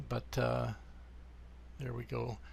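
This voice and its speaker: At a fairly slow pace, a man speaks. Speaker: software developer demonstrating his product. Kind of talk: software tutorial screen demo. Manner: hesitant, many fillers.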